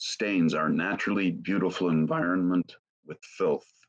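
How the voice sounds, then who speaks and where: Quiet background, a man talking at a moderate pace. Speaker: session organizer. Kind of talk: reading aloud. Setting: video call. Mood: calm, devotional. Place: home room. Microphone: webcam.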